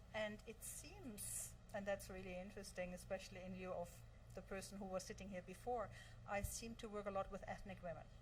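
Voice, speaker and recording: Over noticeable background noise, a woman talks at a fairly quick pace with a slight German accent. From Germany. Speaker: virtual assistant, entrepreneur. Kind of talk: interview.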